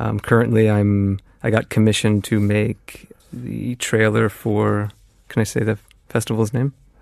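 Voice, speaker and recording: The recording has a dry, close sound with no echo. A man with an American accent speaks in a fairly low pitch with fairly even intonation. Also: moderate pace. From US Midwest (Indiana). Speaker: independent filmmaker. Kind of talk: interview. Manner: halting.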